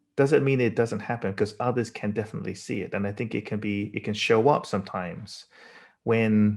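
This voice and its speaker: A man with a British accent and a fairly low pitch speaks at a fairly quick pace on a very clean recording with a silent background. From England. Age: 40s. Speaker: designer. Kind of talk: lecture. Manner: halting.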